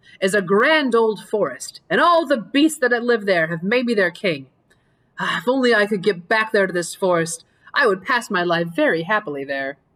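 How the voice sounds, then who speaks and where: Using a put-on character voice, a woman speaks at a medium pitch. Her pace is moderate. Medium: read story.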